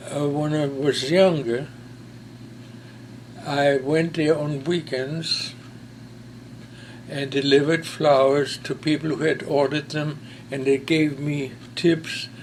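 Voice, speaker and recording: A man's fairly high voice with a German accent, monotone and flat, at a very slow pace with long, frequent pauses. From Germany, Berlin. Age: 90s. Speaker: war veteran. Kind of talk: testimony. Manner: halting.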